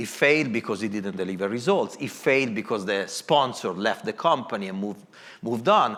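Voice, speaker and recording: Lively in intonation, a man talks at a fairly quick pace with an Italian accent. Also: medium pitch for a man. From Italy. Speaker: corporate design executive. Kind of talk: moderated panel talk.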